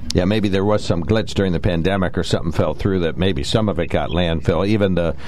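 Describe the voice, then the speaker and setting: Noticeable background noise runs under a voice with ordinary pitch variation. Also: man. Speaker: radio talk show host. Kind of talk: radio call-in talk show. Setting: radio studio.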